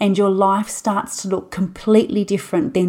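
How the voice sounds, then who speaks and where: Dark and mellow in tone, a woman's voice sits at a medium pitch. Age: 30s. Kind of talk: solo podcast monologue.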